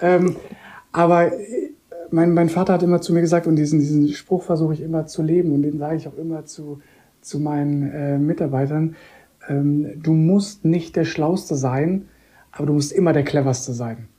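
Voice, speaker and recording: Long, frequent pauses break up a woman's speech at a moderate pace. Her very deep, low pitch carries a dark, mellow tone. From Koblenz, Rhineland, Germany. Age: 30s. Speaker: hotel general manager. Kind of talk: interview.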